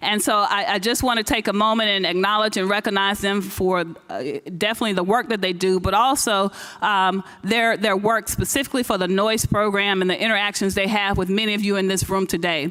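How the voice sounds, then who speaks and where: Over noticeable background noise, a woman speaks at a fairly quick pace, her medium pitch and fairly even intonation matched by very even loudness. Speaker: science foundation program director. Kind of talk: conference speech. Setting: stage with audience. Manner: fast.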